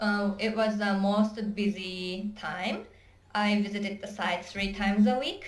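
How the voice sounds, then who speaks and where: In a Japanese accent, the speaker talks at a fairly slow pace with a flat, monotone intonation, and the room echo is audible. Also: woman, medium pitch for a woman. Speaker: job applicant. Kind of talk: job interview. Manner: halting.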